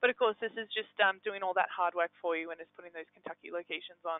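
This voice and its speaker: With an Australian accent, the speaker talks. She is a woman. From Australia, Melbourne. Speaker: engagement manager at a software company. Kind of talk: software webinar demo. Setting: live webinar. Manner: hesitant, many fillers.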